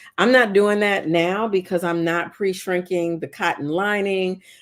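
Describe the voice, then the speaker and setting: A woman with an ordinary speaking voice and fairly low pitch talks at a moderate pace with ordinary pitch variation. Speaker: sewing content creator. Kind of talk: live sewing tutorial. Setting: livestream.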